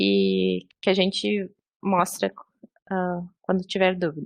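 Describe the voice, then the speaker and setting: A woman's very slow speech with fairly even intonation against a quiet background. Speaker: librarian trainer. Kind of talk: online training tutorial. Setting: video call. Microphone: video call.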